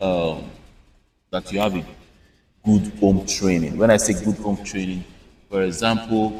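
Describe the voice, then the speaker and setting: A man with a Nigerian accent talks fairly slowly at a fairly low pitch, his intonation fairly even and his speech broken by long, frequent pauses. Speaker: content creator. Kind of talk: casual chat.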